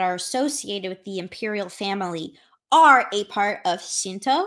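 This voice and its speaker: Here is a woman with a plain, everyday voice. She speaks at a fairly slow pace against a quiet background. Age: 20s. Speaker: anthropologist of religion, PhD candidate. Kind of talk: interview. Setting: video call.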